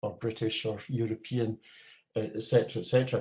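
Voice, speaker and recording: A man with a Scottish accent, medium pitch, fairly quick pace, somewhat breathy delivery, dark, mellow tone and monotone, flat intonation. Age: 70s. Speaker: audience member at a seminar, retired Gaelic learner. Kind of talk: panel discussion comment. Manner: halting, many fillers.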